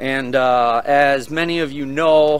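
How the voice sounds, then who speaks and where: The intonation stays fairly even. Light background noise can be heard. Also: man. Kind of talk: casual vlog commentary. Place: open country. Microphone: phone near.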